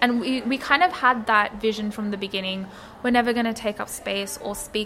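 A woman with an Australian accent speaks at a medium pitch with ordinary pitch variation against noticeable background noise. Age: 20s. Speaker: publication co-founder. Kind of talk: interview.

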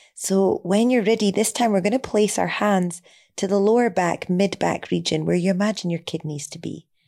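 Calm, gentle and dark, mellow in tone, a woman's medium-pitched voice on a very clean recording with a silent background. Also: ordinary pitch variation, moderate pace. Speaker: yoga and meditation teacher. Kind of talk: guided meditation. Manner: calm, gentle, with long pauses.

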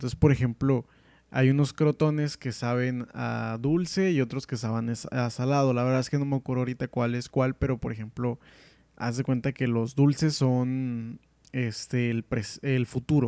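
At a fairly slow pace, a dark, mellow voice speaks in a monotone, flat intonation, with a dry, close sound with no echo and a very clean recording over a silent background. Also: man. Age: 20s. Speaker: podcast host. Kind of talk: casual solo podcast, book review. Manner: hesitant, many fillers.

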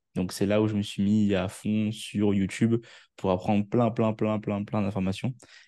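Against a quiet background, a man with a fairly low pitch and a dark, mellow tone talks at a moderate pace in a monotone, flat intonation. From Réunion. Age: 20s. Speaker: marketing entrepreneur. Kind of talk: interview.

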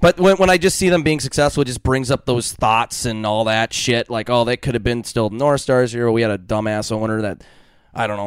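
A normal speaking voice with an American accent moves at a fairly quick pace with lively intonation, in a dry, close sound with no echo. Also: man, medium pitch for a man. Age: 20s. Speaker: podcast host. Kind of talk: casual chat.

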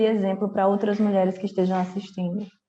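A woman speaks with a dark, mellow tone against a quiet background. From Brazil, Ceará. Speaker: journalist and podcast host. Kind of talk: interview.

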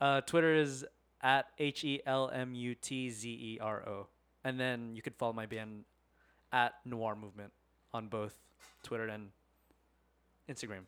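At a moderate pace broken by long, frequent pauses, a man with an American accent speaks at a medium pitch with fairly even intonation. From Las Vegas, Nevada. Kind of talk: casual interview.

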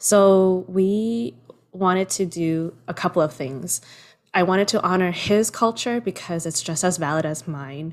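This woman has an ordinary speaking voice at a medium pitch, with ordinary pitch variation, on a very clean recording with a silent background. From Toronto, Canada. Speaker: producer and screenwriter. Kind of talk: casual interview chat. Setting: home, father cooking in background.

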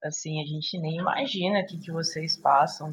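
Her pitch is fairly low for a woman. She sounds somewhat breathy and keeps a moderate pace. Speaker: podcast host. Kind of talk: casual chat.

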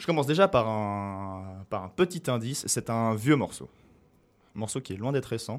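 With an ordinary speaking voice, a man at medium pitch talks at a moderate pace, his intonation lively and his loudness swinging widely, on a very clean recording with a silent background. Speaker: radio show co-host running a music quiz. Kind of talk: casual chat, music quiz game.

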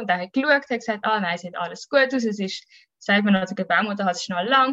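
A woman with a Swiss accent, fairly quick pace and lively intonation. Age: 30s. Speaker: mother telling her birth story. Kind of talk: testimony.

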